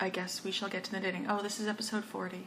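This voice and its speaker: A woman speaks at a fairly quick pace and a medium pitch, with noticeable background noise. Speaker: knitting podcaster. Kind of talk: casual monologue. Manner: hesitant, many fillers.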